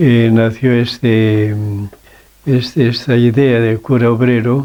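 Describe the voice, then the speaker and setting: A man talks at a very slow pace with a medium pitch. His intonation is monotone and flat. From Spain, Cantabria. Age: 80s+. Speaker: worker-priest. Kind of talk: interview.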